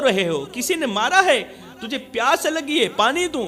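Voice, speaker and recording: Music plays in the background. A man talks with very wide pitch swings. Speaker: Islamic preacher. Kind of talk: emotional Urdu religious sermon. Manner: emotional, passionate, storytelling.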